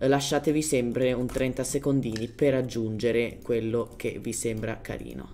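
With music in the background, a woman with a non-native accent speaks at a moderate pace in a very deep, low pitch, her intonation fairly even and hardly any pauses. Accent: non-native Italian. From Germany. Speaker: gaming youtuber. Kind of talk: gameplay tutorial. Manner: casual, hesitant.

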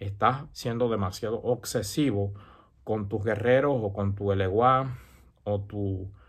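A man speaks at a fairly slow pace in a fairly low, somewhat breathy voice with ordinary pitch variation over a quiet background. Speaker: santería practitioner and YouTuber; religious advice vlogger. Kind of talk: casual advice monologue. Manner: hesitant with many fillers. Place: home room. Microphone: earbuds.

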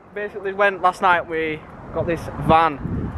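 A raised, projected voice with fairly even intonation comes through a dry sound with no echo, over noticeable background noise. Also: man. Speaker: car vlogger. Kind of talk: casual vlog chat. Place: street. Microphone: phone near.

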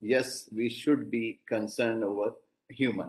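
There is little noise in the background. The man talks at an even, moderate speed. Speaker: invited lecturer, professor. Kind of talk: lecture. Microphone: video call.

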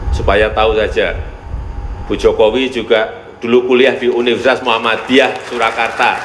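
Audible room echo and light background noise fill the recording. A man talks at a moderate pace. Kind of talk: formal speech. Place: hall. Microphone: podium.

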